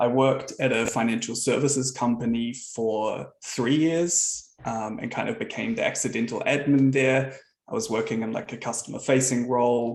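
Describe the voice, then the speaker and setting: With a New Zealand accent, a man at a medium pitch talks at a moderate pace with fairly even intonation and hardly any pauses. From New Zealand, Auckland. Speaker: software founder. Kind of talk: presentation.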